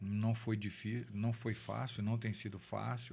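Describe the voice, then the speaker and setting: A man's somewhat breathy voice of medium pitch at a very slow pace. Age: 60s. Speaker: city councillor. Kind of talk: interview testimony.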